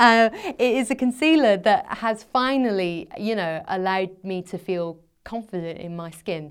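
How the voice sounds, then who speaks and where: A woman's medium-pitched voice with a Scottish accent, moderate in pace, lively in intonation, with big swings in loudness, on a very clean recording with a silent background. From Scotland. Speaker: personal finance blogger and journalist. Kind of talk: interview. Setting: studio.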